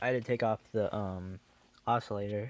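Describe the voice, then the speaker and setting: The sound is dry with no echo as a man talks at a moderate pace with fairly even intonation. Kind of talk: tutorial. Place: workshop. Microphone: phone near.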